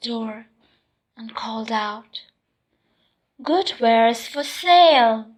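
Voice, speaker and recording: Soft-spoken delivery at a very slow pace. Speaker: ASMR storyteller. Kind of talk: sleep story.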